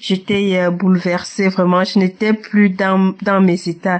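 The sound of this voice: A woman speaks at a medium pitch and a fairly slow pace. Her pitch moves very little.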